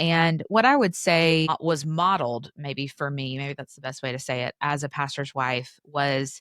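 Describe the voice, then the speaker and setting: In an East Tennessee accent, a voice with ordinary pitch variation is heard in a very clean recording with a silent background, dry and close with no echo. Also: woman. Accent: Southern US (East Tennessee). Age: 30s. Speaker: author and podcaster. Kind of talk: interview conversation. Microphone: professional podcast mic.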